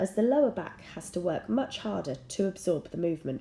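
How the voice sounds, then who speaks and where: At a moderate pace, a woman with a medium-pitched, somewhat breathy voice speaks with very wide pitch swings. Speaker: dressage and fitness coach. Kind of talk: fitness tutorial narration.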